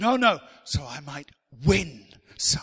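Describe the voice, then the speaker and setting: A man speaks in a raised, projected voice. His tone is bright, sharp and animated. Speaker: preacher. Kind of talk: sermon. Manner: animated, call-and-response, rallying the congregation; emphatic, repeating key phrases.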